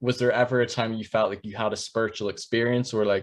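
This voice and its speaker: A man speaks very fast, with a quiet background behind him. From Northern Ireland. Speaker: podcast host, interviewer. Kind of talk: interview.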